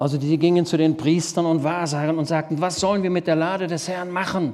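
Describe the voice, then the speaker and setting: A man with a high-pitched voice speaks in an animated tone at a moderate pace. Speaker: preacher. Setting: church.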